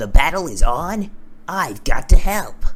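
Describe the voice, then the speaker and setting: Someone uses a put-on character voice at a middle pitch. The pace is fairly slow, and background noise is clear. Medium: solo performance.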